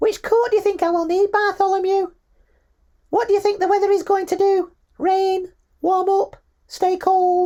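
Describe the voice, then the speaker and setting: An extremely high, put-on character voice speaks at a moderate pace. Long pauses break it up often. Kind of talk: comedic audiobook narration. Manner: unusual put-on voice, hard to sustain.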